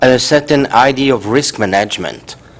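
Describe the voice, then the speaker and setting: Speaking with a French accent, a man keeps a medium pitch and a moderate pace with ordinary pitch variation. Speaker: professor. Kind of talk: conference talk. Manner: halting.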